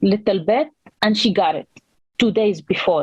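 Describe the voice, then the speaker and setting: With a non-native accent, a woman speaks at a fairly slow pace in a medium pitch with fairly even intonation. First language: not English. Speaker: panelist, immigrant mother. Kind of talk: personal testimony on panel. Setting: panel event.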